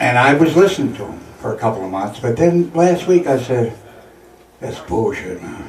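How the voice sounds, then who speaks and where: A man speaks with lively intonation. Noticeable background noise runs beneath him. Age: 60s. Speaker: artist and coffee house host facing eviction. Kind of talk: casual interview. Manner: halting.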